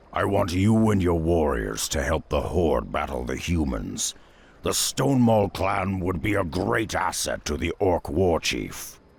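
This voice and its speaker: A man does a put-on character voice that is raspy and very deep and low. He speaks fairly slowly in a very clean recording with a silent background. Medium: video game.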